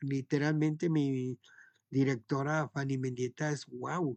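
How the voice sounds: A man's voice sits fairly high in pitch. It shows ordinary pitch variation.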